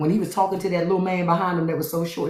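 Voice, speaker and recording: A woman speaks in a fairly low pitch with an animated tone. Vocal fry is present in her voice. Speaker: podcast host. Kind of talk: casual chat. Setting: live stream.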